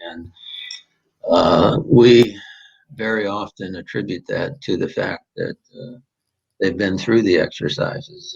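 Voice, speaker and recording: A man with an American accent talks at a fairly slow pace, his fairly low voice somewhat breathy. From southern Minnesota, US Upper Midwest. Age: 70s. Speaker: prayer companion, lawyer. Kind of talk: interview. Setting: at home. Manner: hesitant with many fillers.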